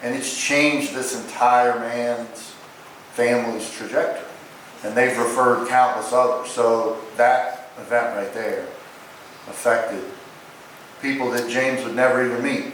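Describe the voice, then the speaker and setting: A man's medium-pitched, monotone, flat voice at a fairly slow pace with long, frequent pauses, amid noticeable background noise and audible room echo. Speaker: chiropractor. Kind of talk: memorial eulogy. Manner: loud.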